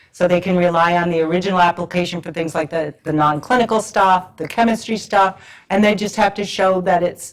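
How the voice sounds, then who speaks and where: With an American accent, a woman talks at a fairly quick pace with hardly any pauses, in a fairly low pitch and fairly even intonation, using an unremarkable speaking voice. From US Northeast (Rhode Island). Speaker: government regulatory pharmacist speaker. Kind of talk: conference lecture.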